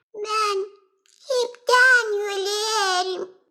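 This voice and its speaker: This cartoonish character voice is squeaky. Its pitch is extremely high. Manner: fretful, singsong.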